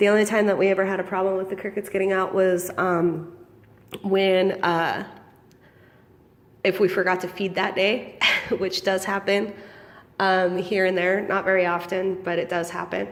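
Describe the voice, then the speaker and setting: At a moderate pace and medium pitch, a woman speaks with monotone, flat intonation and long, frequent pauses. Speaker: small business owner selling feeder insects. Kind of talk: casual vlog. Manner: hesitant, many ums.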